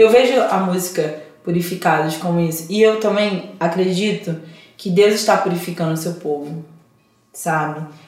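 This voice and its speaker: A woman's fairly low voice at a moderate pace, with ordinary pitch variation and audible room echo. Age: 30s. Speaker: gospel singer. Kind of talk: interview. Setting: studio. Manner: talkative, animated.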